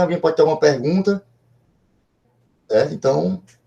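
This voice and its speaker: A man's dark, mellow voice with vocal fry, ordinary pitch variation and a fairly quick pace. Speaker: professor, computer networks researcher. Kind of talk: online lecture. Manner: fast; hesitant, many fillers.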